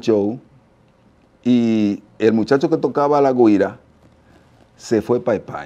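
A man with a Dominican accent speaks in a dark, mellow tone. His pace is very slow, with long, frequent pauses. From Dominican Republic, La Romana; Dominican Republic. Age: 50s. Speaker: merengue percussionist; interview guest. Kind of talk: interview testimony. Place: studio. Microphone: lapel.

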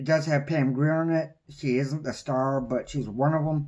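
A man speaks in a dark, mellow tone with ordinary pitch variation. His pace is moderate. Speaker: movie reviewer. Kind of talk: casual vlog chat. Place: home room. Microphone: phone near.

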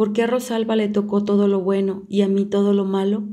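A woman with a dark, mellow tone speaks at medium pitch and a moderate pace, her intonation flat and monotone. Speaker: audiobook reader. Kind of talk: literary audiobook reading, a woman's confessional monologue to a priest. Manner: intimate, confiding, hesitant and wistful, shifting to bitter resentment and rueful sighs.

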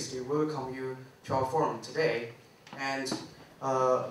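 A man's fairly slow speech, with audible room echo and light background noise. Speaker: forum organizer and PhD student. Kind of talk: formal introduction. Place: hall.

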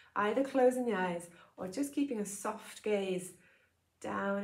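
Audible room echo surrounds this recording. A woman speaks with ordinary pitch variation. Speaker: yoga teacher. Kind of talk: gentle guided loving-kindness meditation with breath cues. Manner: slow, soothing, soft cadence with pauses between phrases; warm, informal, slightly hesitant with filler sounds. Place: home room. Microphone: lapel.

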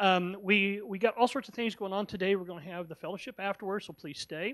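Against a quiet background, a man speaks with a high pitch. His pace is moderate and his pitch variation ordinary. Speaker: church pastor or host introducing guests. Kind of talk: church announcement and introduction. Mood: warm, affectionate. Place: church. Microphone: handheld.

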